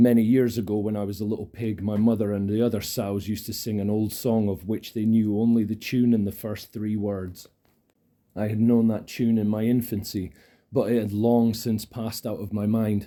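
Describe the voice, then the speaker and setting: A dark, mellow voice with a Scottish accent. It moves at a moderate pace in a flat, monotone delivery. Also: man, fairly low pitch for a man. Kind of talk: ASMR audiobook reading. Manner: soft-spoken, calm.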